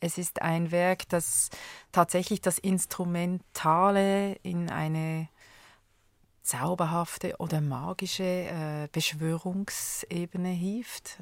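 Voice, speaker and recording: Speaking at a very slow pace, a woman with a fairly low voice keeps her intonation fairly even on a very clean recording with a silent background. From Switzerland. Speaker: conductor and music educator. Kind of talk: radio interview. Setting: studio.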